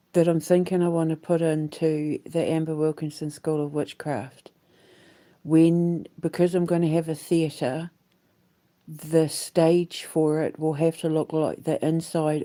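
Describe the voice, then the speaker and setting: A woman's very deep, low voice with a dark, mellow tone and a New Zealand accent, fairly slow and monotone, on a very clean recording with a silent background. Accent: New Zealand, refined. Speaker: vlogger and aspiring musical theatre creator. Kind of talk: casual vlog monologue. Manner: rambling with frequent fillers.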